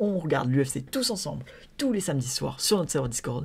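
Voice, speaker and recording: This voice belongs to a man. It sounds somewhat breathy. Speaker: MMA podcaster. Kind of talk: solo podcast commentary. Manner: fast; halting, many fillers.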